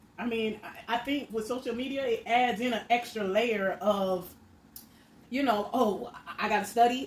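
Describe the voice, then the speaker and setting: Over noticeable background noise, a woman with an American accent speaks at a fairly high pitch. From Miami, Florida. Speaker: mukbang creator. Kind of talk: casual talk to camera while eating.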